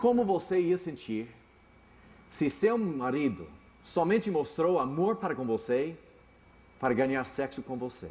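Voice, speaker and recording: Using very wide pitch swings, a man with an English accent and a fairly high pitch speaks at a fairly slow pace. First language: English (speaking Portuguese). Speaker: pastor. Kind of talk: sermon. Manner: halting.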